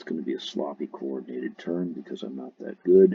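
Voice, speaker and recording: A man speaks in a soft-spoken way. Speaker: RC helicopter hobbyist. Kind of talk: tutorial.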